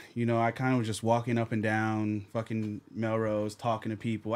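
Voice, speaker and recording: In a very clean recording with a silent background, a man with medium pitch and a plain, everyday voice speaks at a moderate pace. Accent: American. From New Jersey, Jamaican roots. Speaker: podcaster and former interviewer. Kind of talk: casual chat.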